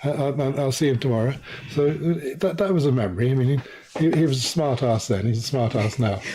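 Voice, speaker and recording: A man speaks at a fairly quick pace in an English accent, with ordinary pitch variation. His loudness stays very even, and there is noticeable background noise. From Guyana. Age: 70s. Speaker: journalist and author. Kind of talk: interview. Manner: halting, stammers.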